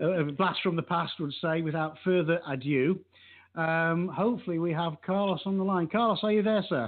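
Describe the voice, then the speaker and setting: With an English accent, this voice moves at a moderate pace, keeping very even loudness and ordinary pitch variation. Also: man, high pitch for a man. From England. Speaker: radio show host. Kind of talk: casual chat.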